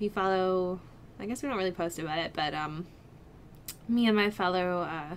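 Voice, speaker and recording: Light background noise sits behind a woman's voice. She talks fairly quickly with ordinary pitch variation. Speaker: vlogger. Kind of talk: casual vlog chat. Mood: chatty, laughs often. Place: home room. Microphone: webcam.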